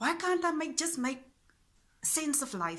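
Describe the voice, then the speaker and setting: Speaking at a fairly slow pace, a woman uses an extremely high pitch with ordinary pitch variation. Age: 40s. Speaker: spiritual vlogger. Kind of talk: personal reflection monologue. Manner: halting.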